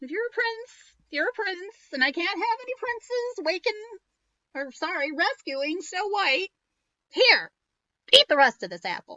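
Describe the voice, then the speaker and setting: A croaky, female-sounding put-on character voice at an extremely high pitch, delivered at a moderate pace. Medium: read story.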